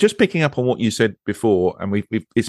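A man with an English accent and fairly low pitch speaks with lively intonation, the sound dry and close with no echo over a quiet background. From England. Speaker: podcast host. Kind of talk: casual chat.

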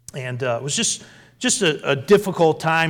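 A man with an American accent at a moderate pace, noticeable background noise behind him. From New England, western Massachusetts. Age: 50s. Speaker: pastor. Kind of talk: sermon.

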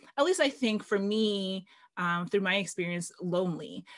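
A woman with a normal speaking voice talks at a medium pitch and a fairly slow pace. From Canada, Filipino family. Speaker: podcast host. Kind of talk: casual interview chat.

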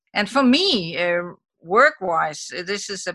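The recording is dry and close with no echo. A woman with a Danish accent speaks at medium pitch in a bright, sharp tone. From Denmark. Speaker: mother living abroad. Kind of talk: interview.

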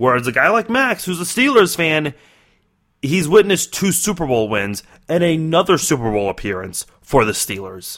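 At a moderate pace and with an American accent, the speaker's voice swings very widely in pitch, in a very clean recording with a silent background. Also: man, fairly high pitch for a man. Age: 20s. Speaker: sports podcast host. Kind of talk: solo sports commentary podcast.

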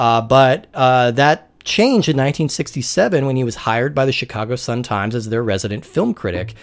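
This man has an unremarkable speaking voice with an American accent, medium pitch and ordinary pitch variation. He talks at a fairly quick pace on a very clean recording with a silent background. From Colorado, US. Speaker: podcast host, film discussion. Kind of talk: scripted narration; casual chat.

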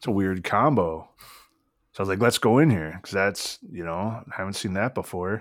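A man with an American accent and a normal speaking voice talks at a fairly low pitch and moderate pace, with ordinary pitch variation. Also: very clean recording, silent background. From US. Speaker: podcast co-host. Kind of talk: casual chat.

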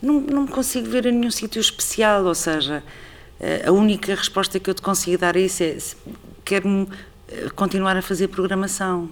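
A woman with a medium pitch and ordinary pitch variation speaks at a moderate pace with very even loudness, leaving long, frequent pauses. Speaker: artistic director of a theatre. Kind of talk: interview conversation.

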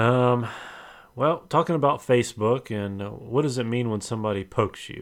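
A man with a normal speaking voice talks at medium pitch and a moderate pace, with ordinary pitch variation, in a very clean recording with a silent background. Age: 40s. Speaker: podcast co-host. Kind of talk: casual chat.

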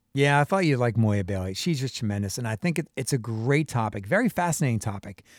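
This man has a normal speaking voice at medium pitch. He moves at a fairly quick pace with lively intonation. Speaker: radio host. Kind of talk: radio talk show, interview. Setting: radio show.

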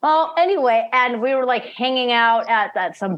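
A woman with a plain, everyday voice and lively intonation. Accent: American. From Phoenix, Arizona. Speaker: podcast host. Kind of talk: casual chat.

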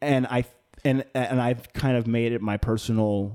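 Speech comes at a very slow pace from a man. The tone is dark and mellow. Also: very clean recording, silent background. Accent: American. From Long Island, New York. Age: 40s. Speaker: podcast host. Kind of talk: casual chat.

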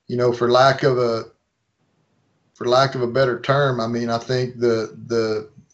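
A man with an American accent speaks at a medium pitch. His pace is moderate. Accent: thick redneck. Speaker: outdoor filmmaker, hunter. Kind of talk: casual chat.

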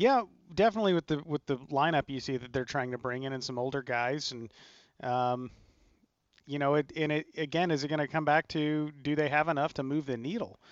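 In a dry, close recording with no echo and a quiet background, a man with an ordinary speaking voice talks at a fairly quick pace, fairly high in pitch with ordinary pitch variation. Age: 30s. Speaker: pro golfer. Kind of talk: radio golf talk show. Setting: remote broadcast at a golf studio.

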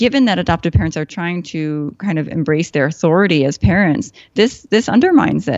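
With an American accent, a woman has an unremarkable speaking voice at a fairly low pitch and a moderate pace. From US Midwest, Chicago. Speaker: psychotherapist. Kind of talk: casual interview conversation.

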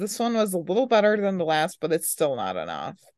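With lively intonation, a woman talks in a normal speaking voice against a quiet background. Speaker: podcast host. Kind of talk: casual chat.

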